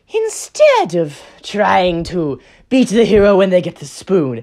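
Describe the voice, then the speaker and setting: This is a put-on character voice that sounds female. It sits at a medium pitch and moves at a fairly slow pace. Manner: scheming.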